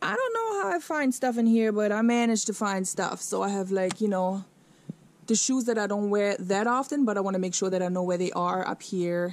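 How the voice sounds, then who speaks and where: A woman with a German accent speaks at a fairly quick pace, with ordinary pitch variation and a dry sound that has no echo. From Germany. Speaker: fashion YouTuber. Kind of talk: casual vlog. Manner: animated.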